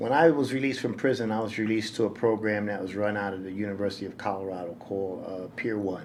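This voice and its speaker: A man with an American accent and a fairly low pitch rushes along at a very fast pace with hardly any pauses and ordinary pitch variation, amid audible room echo. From New York City. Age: 60s. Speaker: nonprofit director. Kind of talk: interview storytelling. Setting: podcast interview.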